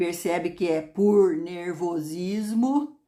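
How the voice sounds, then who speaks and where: Very slowly, a woman talks as her pitch swings very widely. The background is silent and the recording very clean. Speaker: astrology video host. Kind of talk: astrology talk to camera.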